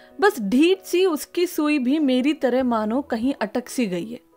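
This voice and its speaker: A woman speaks with lively intonation over music in the background. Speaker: spoken word poet. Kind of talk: spoken word poetry.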